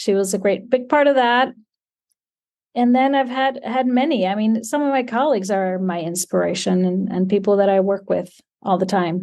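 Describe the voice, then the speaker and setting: A woman's medium-pitched voice with an Icelandic accent, ordinary pitch variation, a moderate pace and a quiet background. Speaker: quilt pattern designer. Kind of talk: interview.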